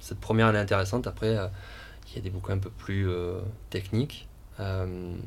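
A man speaks at a moderate pace with a fairly low pitch, and the room echo is audible. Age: 30s. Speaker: restaurant co-founder and chef. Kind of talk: interview. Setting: outdoor guinguette on location. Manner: halting, many fillers and repetitions.

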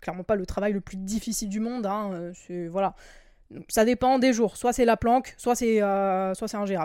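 On a very clean recording with a silent background, a woman of medium pitch and a dark, mellow tone speaks at a moderate pace with fairly even intonation and big swings in loudness. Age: 20s. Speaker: podcast host. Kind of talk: solo monologue podcast. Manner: hesitant, many filler words.

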